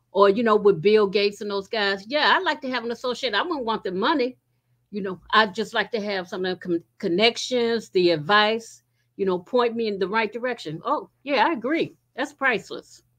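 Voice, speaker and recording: Against a quiet background, a woman talks in a plain, everyday voice with a fairly high pitch. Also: lively intonation, moderate pace. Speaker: book club member. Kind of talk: casual group discussion. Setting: video call. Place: home room. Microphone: video call.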